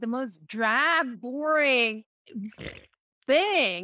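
Raising and projecting her voice, a woman with a high pitch uses lively intonation in a dry, close sound with no echo. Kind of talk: casual chat. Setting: video call.

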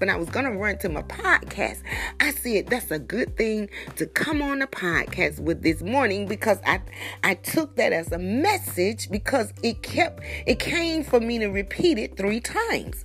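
Music plays in the background. The speaker sounds animated and keeps a moderate pace. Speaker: podcaster and prayer leader. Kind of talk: fervent prayer and devotional talk. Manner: fervent, exultant, praising aloud.

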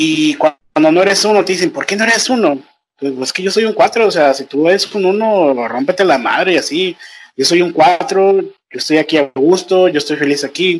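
High-pitched male speech with ordinary pitch variation. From Mexico, Nayarit. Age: 30s. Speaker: podcaster. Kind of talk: casual chat. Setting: international call.

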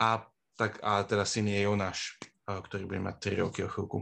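A man is speaking. His pace is moderate. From Bratislava, Slovakia. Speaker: former student, project manager. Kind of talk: casual interview. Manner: halting, many fillers.

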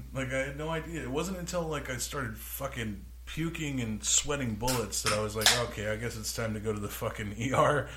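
Noticeable background noise behind a man with an American accent, moderately paced. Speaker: podcast co-host. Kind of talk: casual chat. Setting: studio. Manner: loud.

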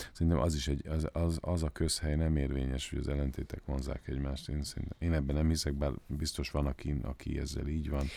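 Very deep and low, a man's voice has a dark, mellow tone and flat, monotone intonation as he talks at a very fast pace in a very clean recording with a silent background. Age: 40s. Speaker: podcast co-host. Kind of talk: casual chat. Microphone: professional microphone.

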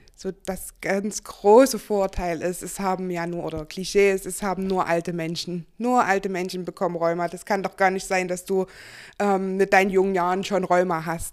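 A woman speaks at medium pitch and a moderate pace, in a monotone, flat intonation with big swings in loudness. The recording is very clean, with a silent background. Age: 20s. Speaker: person with a chronic illness. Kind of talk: interview. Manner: hesitant, many fillers.

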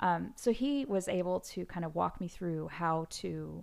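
A very clean, silent-background recording of a woman. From US Pacific Northwest, Seattle. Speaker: pianist and composer. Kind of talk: interview.

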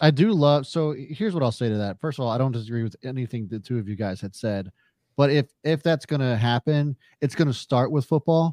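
A man speaks fairly quickly in a medium pitch with a dark, mellow tone and lively intonation. The sound is dry and close with no echo, over a quiet background. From Carroll County, Maryland. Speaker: sports podcast co-host. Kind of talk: casual chat.

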